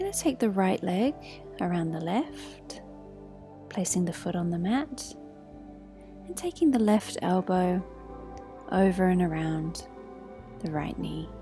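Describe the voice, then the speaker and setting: A woman's calm, fairly slow delivery with long, frequent pauses and music in the background. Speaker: yoga teacher. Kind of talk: guided yoga class instruction. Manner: soft, slow, calm.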